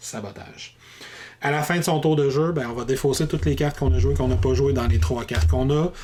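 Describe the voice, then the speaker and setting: The voice is somewhat breathy, with a Quebec accent. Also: man. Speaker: board game reviewer. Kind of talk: rules tutorial. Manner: fast.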